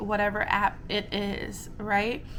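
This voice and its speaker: A woman at medium pitch speaks at a very slow pace over noticeable background noise. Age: 30s. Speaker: vlogger. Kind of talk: casual chat.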